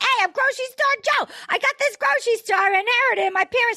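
A woman rattles off a put-on character voice at a very fast pace, pitched extremely high, with a Chicago accent.

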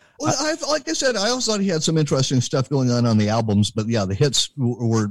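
A plain, everyday voice from a man with an American accent, lively intonation and a fairly quick pace, on a very clean recording with a silent background and a dry, close sound with no echo. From US West Coast, Berkeley, California. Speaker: radio DJ and program director. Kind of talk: casual chat. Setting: home studio.

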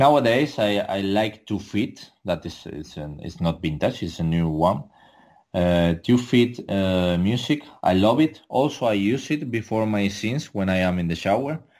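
A man with a Spanish accent speaks at a moderate pace, fairly low in pitch, with lively intonation. The recording is very clean, with a silent background. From Canary Islands, Spain (Tenerife). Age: 30s. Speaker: adult film performer. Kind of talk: interview. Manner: halting, many fillers.

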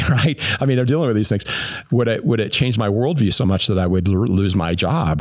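A man with a General American accent speaks at a fairly low pitch. His intonation is lively, and background noise is noticeable. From US, Greeley, Colorado. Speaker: former business executive and recovering alcoholic. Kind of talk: personal faith testimony. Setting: recorded in person at a church.

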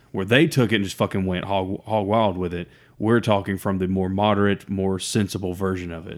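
Fairly quick speech with an Alabama accent and fairly even intonation. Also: man, fairly low pitch for a man. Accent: Southern US (Alabama). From US South. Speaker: podcast co-host. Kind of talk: casual chat.

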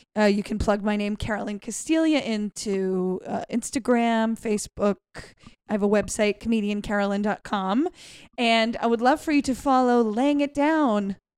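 In a very clean recording with a silent background and a dry, close sound with no echo, a woman with a plain, everyday voice speaks at a fairly high pitch and a moderate pace with ordinary pitch variation. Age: 40s. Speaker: stand-up comedian. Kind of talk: casual chat.

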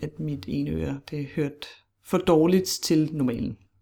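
A woman speaks with a very deep, low pitch and vocal fry. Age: 30s. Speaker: podcast guest sharing personal story. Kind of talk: casual interview conversation.

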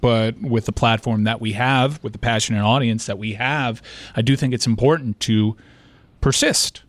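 A man's normal speaking voice, medium in pitch, with fairly even intonation and a moderate pace. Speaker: show producer and co-host. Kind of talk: discussion and ad reads.

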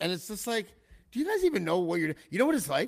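An animated man speaks with a Canadian accent. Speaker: podcast host, former hip-hop artist. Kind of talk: casual chat.

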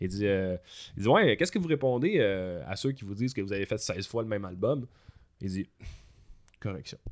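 This man speaks at a fairly quick pace in a fairly low voice with a Quebec accent. His intonation is lively, and he takes long, frequent pauses. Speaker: musician and teacher. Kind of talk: casual chat.

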